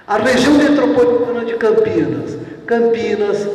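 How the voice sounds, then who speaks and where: A man talks at a fairly slow pace with a high pitch. Noticeable background noise and audible room echo fill the recording. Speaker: water utility engineer giving a talk. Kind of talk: lecture.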